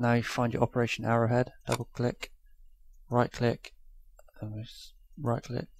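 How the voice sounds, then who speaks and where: Medium pitch from a man, very clean recording with a silent background. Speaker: YouTuber. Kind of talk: tutorial. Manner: quiet; casual.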